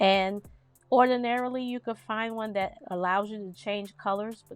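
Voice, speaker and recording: Music runs behind a woman as she talks. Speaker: design tutorial creator. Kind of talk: tutorial. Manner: loud; casual, chatty.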